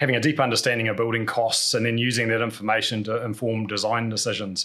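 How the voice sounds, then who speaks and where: A man with a New Zealand accent, talking at a very fast pace. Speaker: podcast host, construction cost business owner. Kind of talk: podcast conversation.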